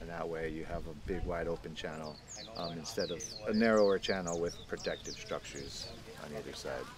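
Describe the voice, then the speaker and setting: A man speaks at a fairly quick pace in a very deep, low voice with fairly even intonation, the sound dry with no echo and noticeable background noise behind him. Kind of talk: interview answer. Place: waterside.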